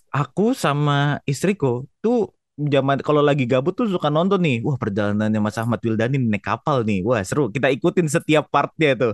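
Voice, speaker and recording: Against a quiet background with a dry, close sound and no echo, a man talks at a fairly quick pace and fairly high pitch with lively intonation, very even loudness and hardly any pauses. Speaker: podcast host. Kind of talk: casual chat.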